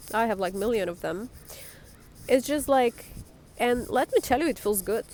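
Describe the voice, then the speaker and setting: A woman talks with a non-native accent. Her voice is fairly high. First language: not English. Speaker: life coach vlogger. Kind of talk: casual monologue. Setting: outdoors.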